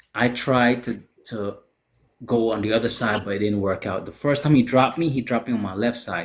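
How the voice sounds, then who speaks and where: A man is speaking. His tone is animated. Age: 40s. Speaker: podcast host. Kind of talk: casual chat.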